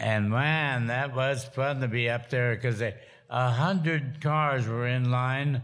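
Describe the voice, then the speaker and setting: The background is quiet. The speech moves at a fairly slow pace. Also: man. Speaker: interview guest. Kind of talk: interview answer. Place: hall.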